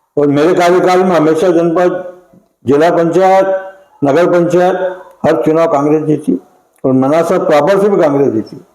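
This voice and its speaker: A man's high-pitched voice with fairly even intonation, very even loudness, long, frequent pauses and audible room echo. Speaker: veteran local politician. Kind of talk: interview.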